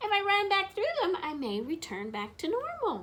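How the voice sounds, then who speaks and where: A woman's squeaky, put-on character voice at an extremely high pitch, swinging very widely, at a moderate pace. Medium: read story. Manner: playful, cheery.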